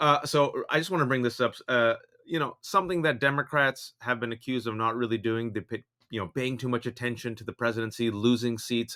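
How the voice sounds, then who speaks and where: With an American accent, a man speaks at medium pitch and a fairly quick pace. His tone is bright and sharp, with ordinary pitch variation. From US West Coast, San Francisco Bay Area. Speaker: political podcast co-host. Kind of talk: casual chat.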